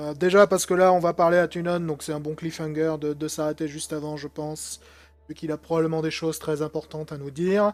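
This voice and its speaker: A fairly high-pitched man at a fairly quick pace, with monotone, flat intonation. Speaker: gaming YouTuber. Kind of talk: let's play commentary. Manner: casual, hesitant with many fillers.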